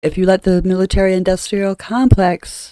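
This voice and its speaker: A woman with a dark, mellow tone is heard in a dry, close sound with no echo. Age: old. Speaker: tarot reader and astrology channel host. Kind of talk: casual tarot and astrology talk to camera. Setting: at home. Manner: chatty, with fillers and asides.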